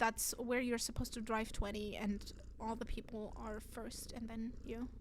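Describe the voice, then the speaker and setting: With audible room echo, a woman in a German accent speaks at a moderate pace and a fairly high pitch. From Germany. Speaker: streamer. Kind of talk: casual chat. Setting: live stream. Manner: animated.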